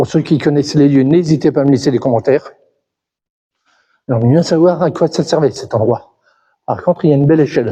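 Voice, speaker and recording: A man with a fairly high pitch and a dark, mellow, somewhat breathy tone talks at a fairly quick pace with ordinary pitch variation, very even loudness and long, frequent pauses. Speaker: urban explorer vlogger. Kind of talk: vlog walkthrough narration. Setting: abandoned mine buildings, echoing. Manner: halting, repeats words.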